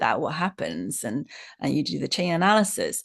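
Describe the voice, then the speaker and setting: Against a quiet background, a woman talks with vocal fry. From Chinese background. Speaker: psychotherapy trainer. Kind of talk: lecture.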